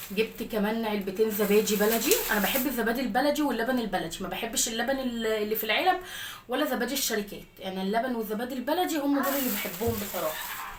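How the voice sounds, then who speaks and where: With an Egyptian accent, a woman talks at a fairly quick pace with hardly any pauses, her fairly high pitch showing ordinary variation, over noticeable background noise and audible room echo. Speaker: lifestyle vlogger and mother. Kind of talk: casual daily-routine vlog.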